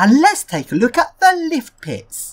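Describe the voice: A woman speaks in a high pitch with a slightly husky edge. Her pitch swings very widely, and her pace is fairly slow.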